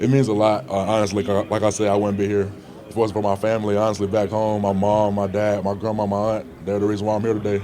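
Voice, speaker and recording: A man with a fairly low pitch speaks at a very fast pace in a monotone, flat delivery at very even loudness. Audible room echo and noticeable background noise surround him. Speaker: college football player, draft prospect. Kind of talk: press interview. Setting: media scrum at scouting combine. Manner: relaxed, many fillers.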